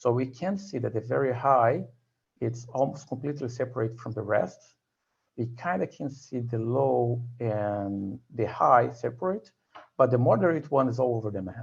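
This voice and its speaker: A man speaks in a somewhat breathy voice of medium pitch, with ordinary pitch variation. His pace is moderate. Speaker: tutorial presenter. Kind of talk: tutorial.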